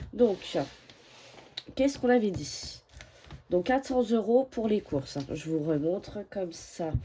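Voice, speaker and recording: A woman speaks at a very slow pace with long, frequent pauses and very wide pitch swings, against noticeable background noise. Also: medium pitch for a woman. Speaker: budgeting vlogger. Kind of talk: casual vlog. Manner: hesitant, many fillers.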